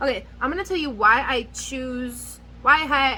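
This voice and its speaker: Raised and projected, a woman's high voice comes through with a bright, sharp tone. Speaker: nail care youtuber. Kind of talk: casual product review vlog. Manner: rambling, scattered delivery; animated.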